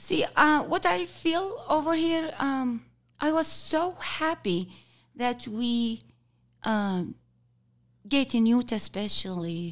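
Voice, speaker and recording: A woman with an Arabic accent speaks at a very slow pace, her high voice making very wide pitch swings. She leaves long, frequent pauses in a very clean recording with a silent background. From Kuwait. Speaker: team lead. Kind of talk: interview. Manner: halting.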